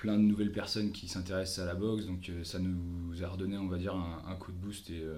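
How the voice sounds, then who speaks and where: Over audible room echo, a man speaks at a moderate pace in a very deep, low, somewhat breathy voice with monotone, flat intonation. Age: 20s. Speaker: boxing coach and combat sports athlete. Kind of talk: casual interview. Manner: halting, many repetitions.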